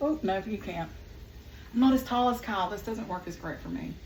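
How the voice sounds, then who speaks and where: A woman with a Southern US accent and ordinary pitch variation, with audible room echo and noticeable background noise. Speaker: home cook vlogger. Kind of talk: cooking tutorial. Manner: casual, chatty.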